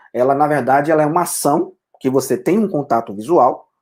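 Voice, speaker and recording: At a moderate pace, a man talks with a fairly high pitch that varies in an ordinary way. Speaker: photographer and teacher. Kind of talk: lecture. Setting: live online broadcast. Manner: hesitant, many fillers.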